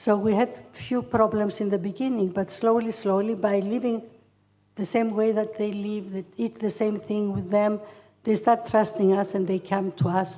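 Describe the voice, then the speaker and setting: A woman speaks at a moderate pace with a Greek accent, her pitch medium. Her tone is dark and mellow, and her intonation stays fairly even. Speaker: charity founder. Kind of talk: acceptance speech. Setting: hotel hall with audience. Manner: halting.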